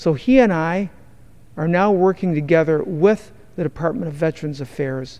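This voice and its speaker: Here a man speaks with an American accent at a high pitch. His pace is moderate, with ordinary pitch variation. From Detroit, Michigan, USA. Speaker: congressman representing Detroit. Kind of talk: congressional floor speech.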